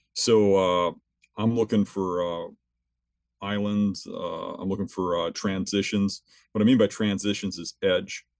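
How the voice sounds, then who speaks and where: Against a quiet background, a man talks fairly slowly in a fairly low, monotone voice, the sound dry and close with no echo. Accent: American. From southeastern Wisconsin. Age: 50s. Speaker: big game hunter and gear designer. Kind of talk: interview on hunting.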